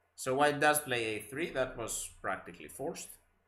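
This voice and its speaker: A man talks with a Greek accent and a bright, sharp tone. He keeps a moderate pace. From Greece. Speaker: chess commentator. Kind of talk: live commentary. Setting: live stream.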